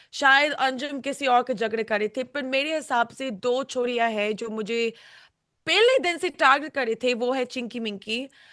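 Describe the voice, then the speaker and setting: A woman with a high voice and a bright, sharp tone, her pitch moving in an ordinary way. The background is quiet. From United Kingdom. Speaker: reality show contestant. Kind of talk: interview. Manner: halting.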